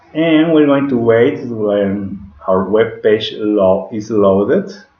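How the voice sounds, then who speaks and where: A man talks at a very slow pace in a fairly low pitch with lively intonation. His voice carries audible room echo and noticeable background noise. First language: Spanish. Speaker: digital marketing instructor. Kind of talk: tutorial. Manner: halting, with frequent self-corrections.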